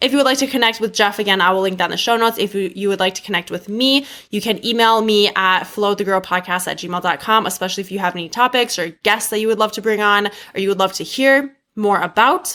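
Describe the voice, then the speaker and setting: Speaking at a very fast pace with hardly any pauses, a woman uses a medium pitch and ordinary pitch variation. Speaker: podcast host. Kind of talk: podcast intro monologue.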